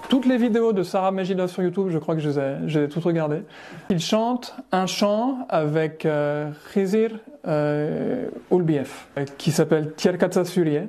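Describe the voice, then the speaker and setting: Here a man talks with a high pitch. His pace is fairly slow. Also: ordinary pitch variation. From France, Savoie. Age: 40s. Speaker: musician. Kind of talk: interview. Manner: halting, many hesitations.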